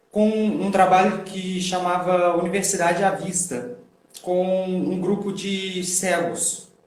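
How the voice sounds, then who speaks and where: Here a man speaks with a mineiro accent at a high pitch and very slow pace. His intonation is fairly even, with audible room echo. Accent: non-carioca, mineiro. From Minas Gerais, Belo Horizonte region, Brazil. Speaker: sign language interpreter. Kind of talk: casual interview. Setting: online live stream.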